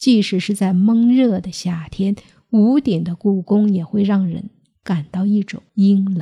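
A woman's somewhat breathy, dark, mellow tone at a very slow pace and medium pitch with ordinary variation, in a dry, close sound with no echo on a very clean recording with a silent background. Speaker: podcast host telling strange tales. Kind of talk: ghost story narration, scripted storytelling.

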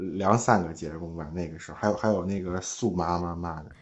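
A man's voice with audible room echo. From Hebei, Zhangjiakou. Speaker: longtime listener calling in. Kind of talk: casual chat.

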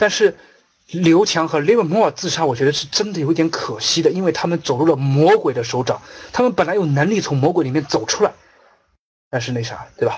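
Fairly quick and animated, a man talks. His pitch is fairly high. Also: lively intonation. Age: 30s. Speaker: investment trainer. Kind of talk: lecture.

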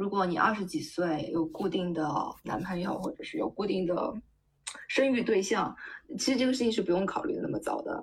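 Here is a woman with an unremarkable speaking voice at a medium pitch. She talks fairly quickly with lively intonation. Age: 30s. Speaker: tech worker sharing egg-freezing experience. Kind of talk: casual chat.

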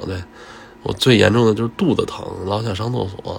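Male speech, moderately paced, with noticeable noise in the background. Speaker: podcast host. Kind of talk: casual voice diary monologue. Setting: at workplace.

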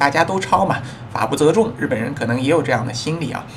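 A man's pitch swings very widely as he speaks. Noticeable background noise and room echo can be heard. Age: middle-aged. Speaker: podcast host and immigration consultant. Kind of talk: casual monologue.

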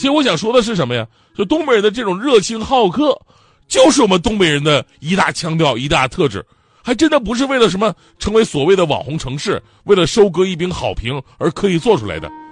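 A man's high-pitched voice at a fairly quick pace, with very wide pitch swings. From Northeast China. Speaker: comedy talk show host. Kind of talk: stand-up. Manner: animated.

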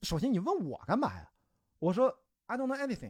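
The man talks at a moderate pace in an animated tone, his pitch swinging very widely. The sound is dry and close, with no echo. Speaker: ultramarathon runner and film producer. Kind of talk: casual chat.

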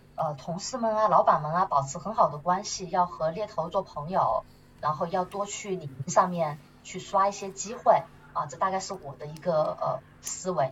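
A woman at medium pitch speaks at a moderate pace with ordinary pitch variation over noticeable background noise. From Chongqing, southwest China. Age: 30s. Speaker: marketing manager and nonprofit co-founder. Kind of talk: interview conversation. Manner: animated; hesitant fillers.

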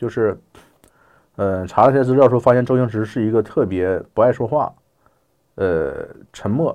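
The speaker moves at a moderate pace with ordinary pitch variation. Long, frequent pauses break up the speech over a quiet background. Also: man. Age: 40s. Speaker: journalist and editor. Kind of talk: casual interview chat.

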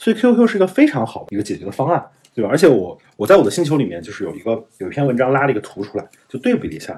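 A man's very fast, somewhat breathy speech with very wide pitch swings and big swings in loudness. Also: medium pitch for a man. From northern China. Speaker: investor. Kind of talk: interview. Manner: casual.

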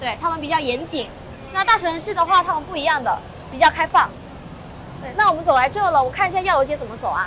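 A woman's extremely high, raised and projected voice in a Malaysian accent, very fast with lively intonation, big swings in loudness and long, frequent pauses, over noticeable background noise. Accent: Malaysian Chinese Mandarin. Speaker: local friend and guide. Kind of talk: casual chat. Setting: outdoors walking in city.

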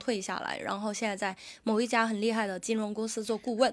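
On a very clean recording with a silent background, a woman talks at a fairly quick pace with a fairly high pitch in a normal speaking voice. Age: 30s. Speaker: podcast host and comedy show organizer. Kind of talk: casual chat.

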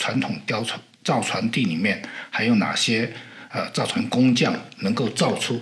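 Speech comes at a fairly slow pace with audible room echo and noticeable background noise. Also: man. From southern Fujian, China. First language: Southern Min (Hokkien) (speaking Chinese). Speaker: maritime technology historian and sailor. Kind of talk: interview. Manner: hesitant, many fillers.

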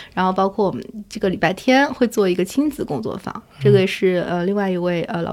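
A woman at medium pitch is heard against noticeable background noise. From Shanghai, China. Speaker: museum curator and researcher. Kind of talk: casual interview conversation.

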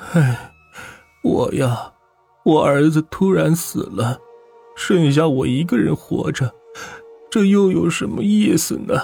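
Putting on a character voice, a man speaks shakily at a fairly high pitch and a fairly slow pace, with long, frequent pauses and faint music in the background.

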